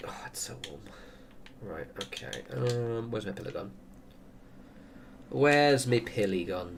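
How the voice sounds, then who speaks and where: Amid noticeable background noise and audible room echo, a man with an English accent and fairly low pitch shows very wide pitch swings, big swings in loudness, and long, frequent pauses. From England. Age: 30s. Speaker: gaming streamer. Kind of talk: casual chat. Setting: livestream at home. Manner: fast.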